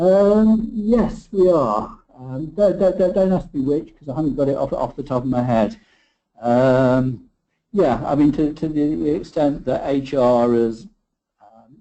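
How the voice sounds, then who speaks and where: Here a man with an unremarkable speaking voice talks fairly slowly at a fairly high pitch, his loudness swinging widely. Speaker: industry analyst presenting webinar. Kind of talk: webinar presentation. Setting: online webinar.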